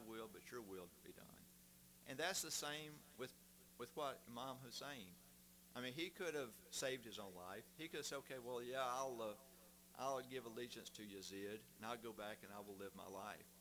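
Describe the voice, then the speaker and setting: This man has a Southern US accent, a bright, sharp tone and vocal fry. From US South, Mississippi. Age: 60s. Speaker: guest speaker. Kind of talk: testimony.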